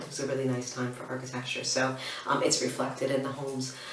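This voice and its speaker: Amid noticeable background noise and audible room echo, a woman talks at a very fast pace in a very deep, low pitch with monotone, flat intonation. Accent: American. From United States. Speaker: interior design blogger. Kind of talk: casual Q&A to camera. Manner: hesitant, many ums and restarts.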